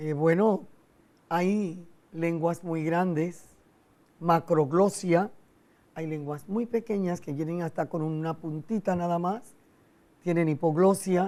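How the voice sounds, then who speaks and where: A woman speaks very slowly in a fairly low pitch, her tone dark and mellow. Her intonation stays fairly even, and she leaves long, frequent pauses. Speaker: psychologist and speech doctor. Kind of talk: TV interview.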